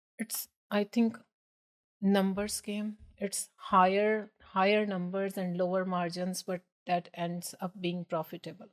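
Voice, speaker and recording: A woman's fairly slow, monotone voice with flat intonation, in a dry, close sound with no echo. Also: medium pitch for a woman. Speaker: business owner. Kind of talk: podcast interview.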